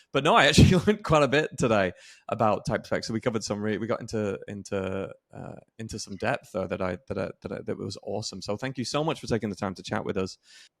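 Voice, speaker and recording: Very fast male speech at medium pitch with an English accent, ordinary pitch variation and big swings in loudness, on a very clean recording with a silent background. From England. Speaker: podcast host. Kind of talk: interview.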